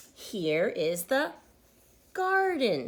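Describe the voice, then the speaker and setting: This is a put-on character voice with a gruff edge. It swings very widely in pitch. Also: woman, fairly high pitch for a woman. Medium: read story. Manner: gruff, grumpy.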